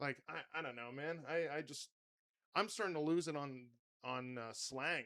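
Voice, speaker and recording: Fairly high in pitch, a man talks in a bright, sharp tone with ordinary pitch variation. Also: moderate pace. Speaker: podcast host and comedian. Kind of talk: casual chat.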